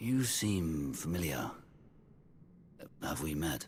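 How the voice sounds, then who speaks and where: A man speaks at a very slow pace in a put-on character voice with a very deep, low pitch. His intonation is lively, and background noise is clearly audible. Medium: video game. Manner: intense, proud.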